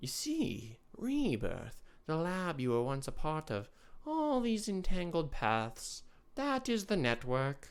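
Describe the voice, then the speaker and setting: In a put-on character voice, the speaker talks softly at a fairly slow pace and a middle pitch, with very wide pitch swings and a hissing quality. The recording is very clean, with a silent background. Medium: read story. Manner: hissing, cryptic.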